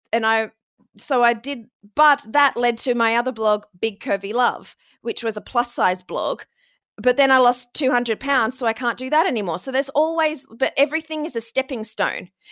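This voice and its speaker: Recorded very cleanly against a silent background, a woman speaks at a moderate pace and high pitch, with ordinary pitch variation and a dry, close sound with no echo. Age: 40s. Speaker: podcast booking agency founder. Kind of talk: interview conversation.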